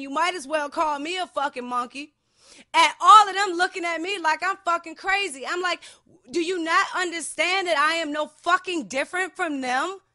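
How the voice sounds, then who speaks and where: A woman's extremely high, bright, sharp voice in an American accent, raised and projected, animated in tone, with ordinary pitch variation at a moderate pace. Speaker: podcast host. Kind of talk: heated casual discussion. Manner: loud.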